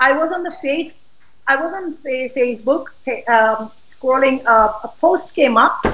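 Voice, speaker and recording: At a fairly slow pace, a woman speaks with a high, bright, sharp voice and ordinary pitch variation. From Pakistan. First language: not English (Pakistani language). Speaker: political activist. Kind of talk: interview. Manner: outspoken; halting.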